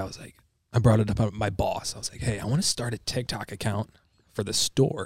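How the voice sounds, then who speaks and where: A somewhat breathy man with an American accent at a very fast pace. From Michigan. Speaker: social media creator, supplement store worker. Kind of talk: casual chat.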